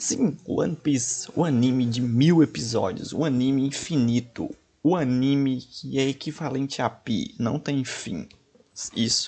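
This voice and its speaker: With a Brazilian accent, a man speaks at a fairly slow pace. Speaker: reaction streamer. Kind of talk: casual reaction commentary to camera. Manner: casual, joking, slangy. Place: home room.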